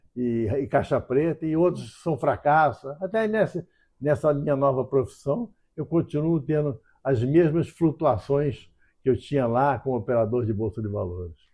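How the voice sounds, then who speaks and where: A somewhat breathy man's voice at a moderate pace. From Brazil, Rio de Janeiro. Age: 80s+. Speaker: writer and former stock market trader. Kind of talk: oral history interview. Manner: halting, frequent repetitions.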